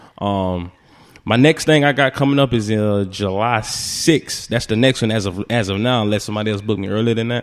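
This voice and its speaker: A man with a fairly low pitch and ordinary pitch variation talks at a fairly quick pace. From Leesburg, Lake County, Florida. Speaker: comedian and entertainer. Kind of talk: casual interview chat.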